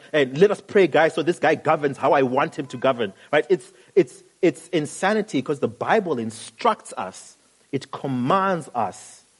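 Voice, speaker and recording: With a dry, close sound and no echo, a man uses a normal speaking voice, lively intonation and a moderate pace. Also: fairly high pitch for a man. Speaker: pastor, sermon preacher. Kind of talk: sermon delivered to a congregation.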